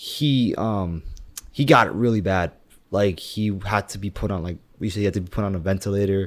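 A man in a normal speaking voice with an American accent, fairly low pitch, ordinary pitch variation and fairly quick pace, on a very clean recording with a silent background. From US. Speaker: podcast guest. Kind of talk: casual chat.

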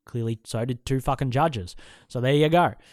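A man speaks at a moderate pace with an Australian accent and fairly even intonation. The recording is very clean, with a silent background. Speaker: MMA podcast host. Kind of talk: solo fight preview monologue. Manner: casual, profane, rambling.

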